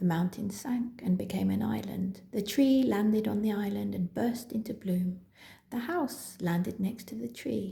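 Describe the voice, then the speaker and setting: Her dark, mellow tone carries some vocal fry as this woman speaks at a moderate pace. Her pitch sits in the medium range with ordinary variation. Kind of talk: children's story reading.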